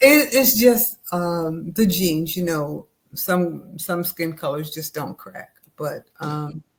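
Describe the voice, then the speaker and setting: A somewhat breathy woman with an American accent and a fairly low pitch speaks at a very slow pace, with lively intonation and big swings in loudness. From upstate New York. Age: 70s. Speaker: educator and nonprofit founder. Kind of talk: interview.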